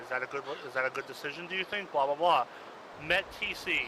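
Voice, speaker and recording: Amid noticeable background noise, a man talks with lively intonation. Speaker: military training instructor in a game. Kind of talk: instructional briefing. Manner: fast.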